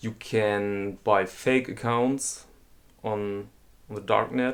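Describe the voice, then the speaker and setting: The delivery moves at a very slow pace. Its intonation stays fairly even. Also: man, fairly low pitch for a man. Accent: German. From Germany. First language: German. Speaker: watch collector and video host. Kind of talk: casual explainer monologue. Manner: halting, with fillers and repetitions.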